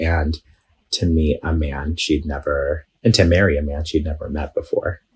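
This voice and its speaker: Somewhat breathy, a man's very deep, low voice holds a monotone, flat intonation. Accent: American. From New York City, Bay Ridge, Brooklyn. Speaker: Palestinian American activist guest. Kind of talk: casual interview.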